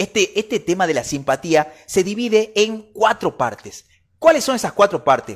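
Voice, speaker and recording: A man with a high voice talks in an animated tone at a moderate pace, with very wide pitch swings. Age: 30s. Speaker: podcast host. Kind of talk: solo podcast book review.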